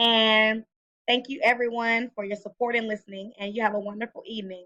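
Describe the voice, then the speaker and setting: Bright and sharp in tone, a woman with an American accent speaks at a high pitch. Her pace is fairly quick. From Texas, Killeen. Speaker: college student. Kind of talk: self-introduction recording. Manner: hesitant, many fillers.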